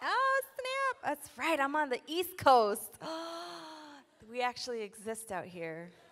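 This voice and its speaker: A woman with a high pitch speaks very slowly, her pitch swinging very widely, with long, frequent pauses and noticeable background noise. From South Side of Chicago. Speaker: spoken word poet. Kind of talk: keynote speech, casual talk to audience.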